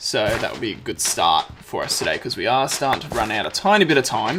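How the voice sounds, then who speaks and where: This man has a fairly high pitch and lively intonation, speaking at a moderate pace. There is noticeable background noise. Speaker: gaming video creator. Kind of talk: let's play commentary. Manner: casual, frequent filler words.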